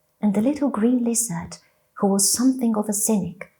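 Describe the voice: Quiet surroundings behind plain reading aloud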